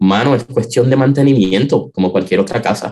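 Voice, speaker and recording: A man with an unremarkable speaking voice at medium pitch and lively intonation. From Puerto Rico, San Juan metro area. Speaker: organist. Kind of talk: interview.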